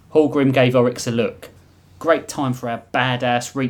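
Fairly even intonation from a natural reading voice

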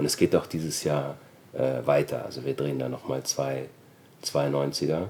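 Very deep and low, a man's voice holds a monotone, flat intonation. He talks at a moderate pace. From Austria. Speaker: actor and former rapper. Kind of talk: interview.

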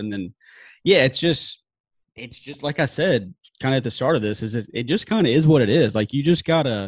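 A man's unremarkable speaking voice at medium pitch, fairly quick and lively in intonation, with a dry, close sound, no echo, and a very clean recording with a silent background. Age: 20s. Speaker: sportswriter. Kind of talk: casual chat.

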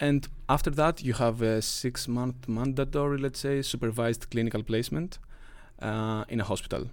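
A man with a Greek accent speaks at a moderate pace in a medium pitch with ordinary pitch variation, in a very clean recording with a silent background. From Greece. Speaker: master's student physiotherapist. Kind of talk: casual interview. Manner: animated, laughs often.

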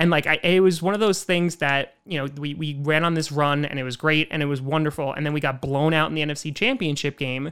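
A man with a New York accent talks at a fairly quick pace with hardly any pauses, fairly high in pitch and fairly even in intonation. The recording is very clean, with a silent background. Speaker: podcast host. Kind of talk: casual chat. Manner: fast talker.

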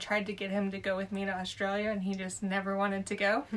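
Flat and monotone, a woman with an American accent and medium pitch speaks at a fairly quick pace. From Southern California. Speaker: long-term traveler. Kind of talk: casual round table chat.

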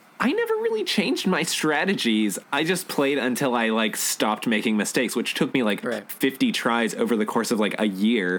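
A man at a moderate pace, hardly any pauses, very even loudness, noticeable background noise behind him. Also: medium pitch for a man, lively intonation. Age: 20s. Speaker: podcast co-host. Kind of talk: casual chat.

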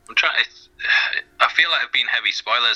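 Dry, close sound with no echo, from a man at a moderate pace. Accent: English. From England. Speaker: YouTuber. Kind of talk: casual interview chat.

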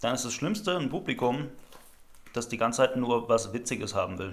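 Pitch variation stays ordinary. The delivery runs at a fairly quick pace. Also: man. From Rhineland-Palatinate, Germany. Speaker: slam poet. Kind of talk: casual chat.

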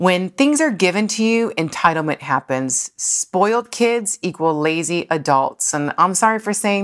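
A plain, everyday voice from a woman with an American accent, fairly low in pitch, at a fairly slow pace with lively intonation, in a very clean recording with a silent background. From Buffalo, New York. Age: 40s. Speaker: podcast host and loan officer. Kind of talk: motivational monologue. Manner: casual, laughing often.

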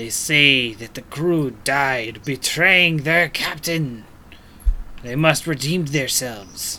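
A put-on character voice sits at a low-to-middle pitch and goes very slowly. Background noise is clearly heard. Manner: sly, cackling, conspiratorial.

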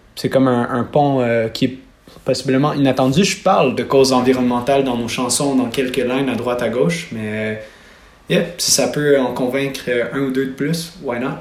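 Recorded with noticeable background noise and audible room echo, a man speaks at a moderate pace in a medium pitch with fairly even intonation. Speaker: singer. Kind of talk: interview.

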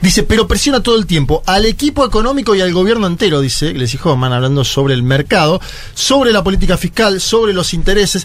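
A high-pitched man talking at a very fast pace with hardly any pauses, very wide pitch swings and very even loudness, over noticeable background noise. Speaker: political commentator. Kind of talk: casual chat.

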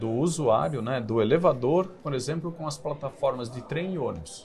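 A man at a moderate pace in a normal speaking voice. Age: 40s. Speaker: company CEO. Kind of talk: interview. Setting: studio.

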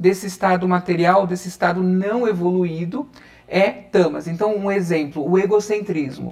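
This man's pitch is high and varies in an ordinary way. He speaks at a moderate pace. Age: 30s. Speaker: holistic therapist and reiki teacher. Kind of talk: interview.

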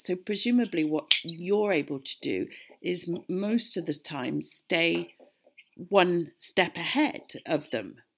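Speaking very slowly with a British accent, a woman uses a fairly low pitch on a very clean recording with a silent background. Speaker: podcast host. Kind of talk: interview.

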